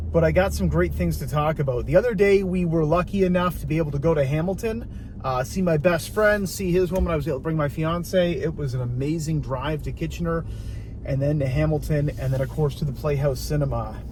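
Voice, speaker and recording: A man with a Canadian accent talks at a fairly quick pace. Audible room echo surrounds his voice. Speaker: vlogger. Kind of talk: casual monologue while driving. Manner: fast.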